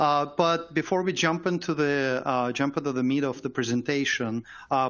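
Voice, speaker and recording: A man speaks in a Russian accent with ordinary pitch variation. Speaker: software company engineer. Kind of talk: webinar presentation.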